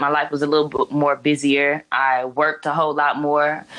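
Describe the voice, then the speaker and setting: With an American accent, a woman speaks in a very deep, low pitch against a quiet background. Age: 20s. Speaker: rapper. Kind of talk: interview.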